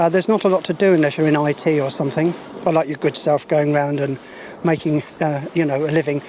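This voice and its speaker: Over noticeable background noise, a man talks at a very fast pace in a fairly high pitch with a southern English accent. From London and Isle of Wight, England. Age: 70s. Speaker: local resident, street interviewee. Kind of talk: street interview. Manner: hesitant, many fillers.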